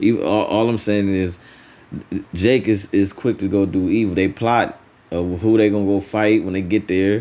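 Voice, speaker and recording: A man talks at a moderate pace in a fairly low voice with a dark, mellow tone. His pitch shows ordinary variation. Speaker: religious teacher. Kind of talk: sermon. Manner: halting, repeats words.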